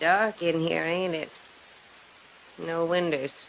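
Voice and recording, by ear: Using a low-pitched put-on character voice with vocal fry, a woman talks slowly with fairly even intonation.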